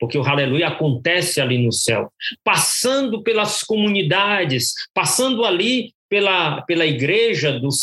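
The man's bright, sharp tone comes with lively intonation. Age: 60s. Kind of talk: testimony. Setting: remote call.

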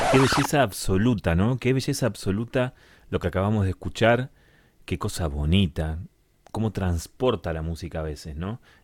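On a very clean recording with a silent background, a man with a fairly low pitch speaks at a moderate pace in an animated tone with lively intonation. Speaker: radio host. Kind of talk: radio music show presenting.

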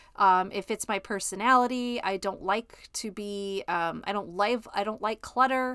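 An American woman with a bright, sharp tone speaks at a medium pitch and moderate pace, her intonation fairly even and her pauses few, on a very clean recording with a silent background. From Chicago. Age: 50s. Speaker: podcast host and life coach. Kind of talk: solo podcast monologue. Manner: casual with frequent fillers.

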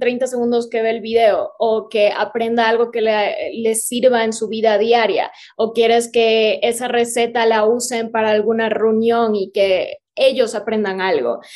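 A woman with a fairly high voice speaks in a flat monotone at a fairly slow pace. She hardly pauses at all. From Ecuador, Cuenca. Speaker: vegan content creator and film student. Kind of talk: casual interview chat.

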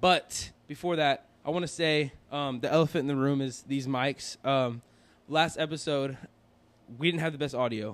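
On a very clean recording with a silent background, a man speaks with a fairly high pitch and ordinary pitch variation. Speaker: podcast host. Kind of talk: casual chat. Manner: animated. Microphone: new microphone setup.

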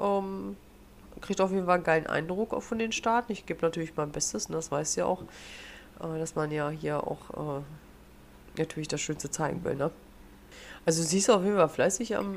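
A woman speaks at a moderate pace in a fairly low pitch. Hers is a normal speaking voice. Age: young. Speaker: podcast host. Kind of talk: casual chat.

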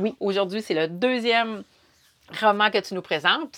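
Woman's medium-pitched, bright, sharp voice in a Quebec accent, with fairly even intonation and a quiet background. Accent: Québécois French. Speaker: podcast host. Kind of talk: casual chat.

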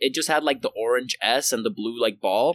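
Speaking with a Puerto Rican accent, a man uses a bright, sharp tone at a medium pitch and a fairly quick pace, the sound dry and close with no echo. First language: Spanish. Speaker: podcast co-host. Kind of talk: casual chat.

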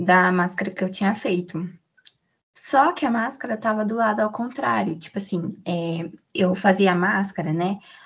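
Her voice is somewhat breathy and sits at a medium pitch for a woman. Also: ordinary pitch variation, moderate pace. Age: 20s. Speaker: content creator and podcast host. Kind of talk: casual interview chat.

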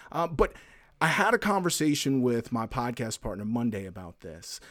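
In a very clean recording with a silent background, a man with a plain, everyday voice speaks fairly quickly at a medium pitch. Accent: American. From US South. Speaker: podcast host. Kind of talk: interview conversation.

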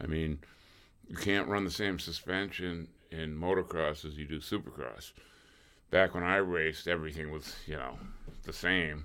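Speaking at a moderate pace with long, frequent pauses, a man with a very deep, low pitch, vocal fry, a bright, sharp tone and fairly even intonation is heard. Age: 60s. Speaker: former motocross racer. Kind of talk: casual chat.

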